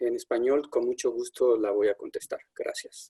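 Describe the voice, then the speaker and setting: A man is heard in a dry, close recording with no echo. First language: Spanish. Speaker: settlement worker. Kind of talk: webinar introduction.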